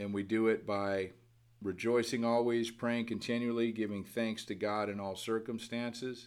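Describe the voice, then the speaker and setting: A man at a medium pitch with monotone, flat intonation and a moderate pace, amid audible room echo. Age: 50s. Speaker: podcast preacher. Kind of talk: sermon. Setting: at home by a window. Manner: casual, filler-heavy.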